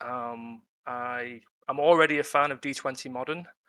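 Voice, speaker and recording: The voice carries a strong British accent, a bright, sharp tone and monotone, flat intonation. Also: man. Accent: British, self-described as strong. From UK. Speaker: freelance tabletop game writer. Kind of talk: casual interview on a live webinar. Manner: hesitant, many fillers.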